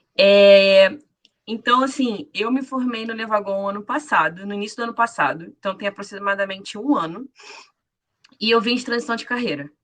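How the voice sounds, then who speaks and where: Here is a woman with an unremarkable speaking voice at a medium pitch. She talks at a moderate pace with ordinary pitch variation. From Rio de Janeiro, Brazil. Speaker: former bootcamp student, programmer. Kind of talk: self-introduction on a live panel.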